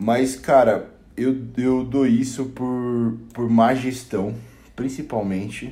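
A man's dark, mellow tone at a very slow pace, with audible echo in the room. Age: 20s. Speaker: podcast panelist, photographer. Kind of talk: casual chat.

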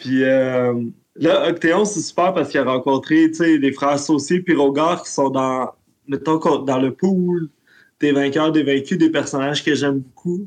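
Here a man speaks with a Quebec accent and a fairly high pitch. His intonation stays fairly even against a quiet background. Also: fairly slow pace, very even loudness. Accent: Québécois French. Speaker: role-playing game player. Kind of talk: casual chat.

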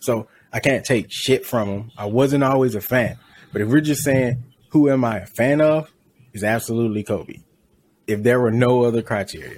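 This is a very clean recording with a silent background. A man speaks at a moderate pace in a plain, everyday voice, medium in pitch with ordinary pitch variation. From rural US. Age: 30s. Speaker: podcast host. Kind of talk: casual chat.

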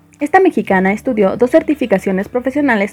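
Speaking at a very fast pace, a woman has a dark, mellow tone that is somewhat breathy, with lively intonation in a dry, close sound with no echo. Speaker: special education graduate. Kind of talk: scripted narration.

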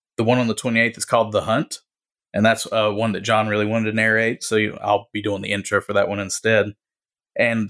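Delivered at a fairly quick pace, a normal speaking voice comes through with a dry, close sound and no echo. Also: man. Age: 30s. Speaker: podcast co-creator and postal worker. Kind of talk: casual chat.

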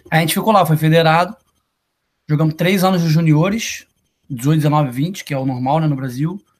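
His voice sits fairly high for a man. He keeps a moderate pace with ordinary pitch variation. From Brazil, Niterói (Rio de Janeiro state). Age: 20s. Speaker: college soccer player. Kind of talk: casual interview. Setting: live video stream.

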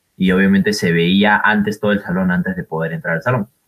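A man with a plain, everyday voice speaks at a fairly low pitch. His intonation is lively. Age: 20s. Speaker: university student, podcast co-host. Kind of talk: casual chat.

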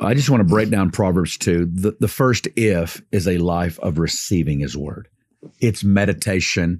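A man talks at a moderate pace in a very deep, low voice with ordinary pitch variation. The recording is very clean, with a silent background. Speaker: podcast co-host, minister. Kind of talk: casual faith discussion. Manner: loud.

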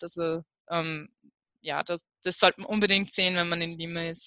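Speaking at a fairly slow pace, a woman comes across with a bright, sharp tone in a very clean recording with a silent background and a dry, close sound with no echo. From Upper Austria. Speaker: travel blogger. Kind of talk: interview about travel tips.

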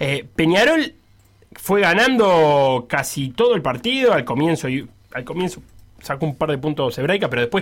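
A man speaks in a Uruguayan accent. His pitch swings very widely. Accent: Rioplatense Spanish (Uruguayan). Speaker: sports radio host. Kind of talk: casual sports radio chat and interview.

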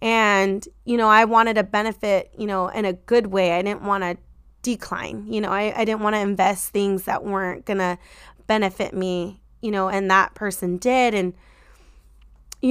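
Over a silent background in a very clean recording, a woman speaks at a moderate pace and medium pitch with monotone, flat intonation. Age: 30s. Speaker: podcast host. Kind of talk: casual solo podcast talk. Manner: frequent fillers and hesitations.

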